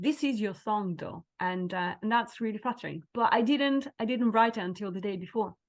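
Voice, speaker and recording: The speaker's intonation is lively, at a moderate pace. The background is quiet. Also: woman. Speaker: singer-songwriter. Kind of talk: interview answer. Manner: energetic, enthusiastic.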